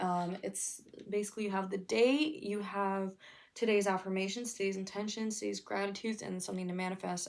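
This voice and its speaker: A woman with a medium pitch and ordinary pitch variation talks at a fairly quick pace. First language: not English. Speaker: vlogger. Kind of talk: casual vlog talk to camera. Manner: casual, chatty.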